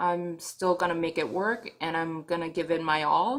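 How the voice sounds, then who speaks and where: A woman with a fairly low pitch speaks at a fairly slow pace, her pitch varying in an ordinary way. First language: not English. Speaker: vlogger. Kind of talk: video diary. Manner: halting.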